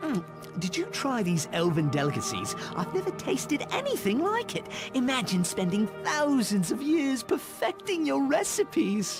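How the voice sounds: A man performs a put-on character voice with extremely high pitch and very wide pitch swings. He speaks at a fairly slow pace over clear music in the background.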